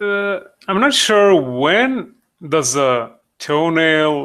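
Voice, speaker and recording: With lively intonation and a bright, sharp tone, a man talks in a non-native accent. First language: not English. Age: 30s. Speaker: digital sculptor, streamer. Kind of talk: live stream tutorial. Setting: live video stream. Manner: halting, many fillers.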